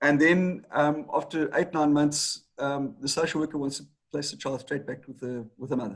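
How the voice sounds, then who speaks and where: The background is quiet. A man with a fairly high pitch talks at a moderate pace. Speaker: attorney. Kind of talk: interview. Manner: halting, with repetitions.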